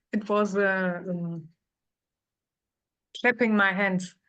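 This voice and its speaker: A woman with a non-native accent speaks at a very slow pace, her pitch medium. Her tone is bright and sharp, and the background is quiet. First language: not English. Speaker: course participant. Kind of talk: question in a Q&A. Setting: online video call. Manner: halting.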